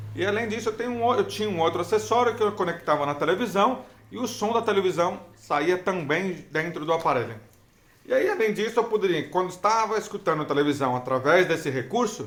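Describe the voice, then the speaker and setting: Lively intonation marks the speech of a man with a high pitch. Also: fairly quick pace. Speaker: hearing-impaired vlogger sharing experience. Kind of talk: casual vlog talk. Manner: halting.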